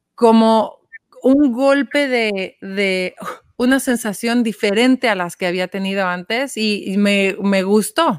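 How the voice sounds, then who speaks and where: At a very slow pace, a woman with a fairly high pitch speaks with ordinary pitch variation. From Mexico City. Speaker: social entrepreneur, nonprofit founder. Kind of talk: interview.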